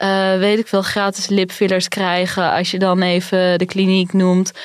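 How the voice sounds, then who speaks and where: A woman speaks at a very slow pace and a medium pitch on a very clean recording with a silent background. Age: 30s. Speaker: finance journalist. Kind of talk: casual chat.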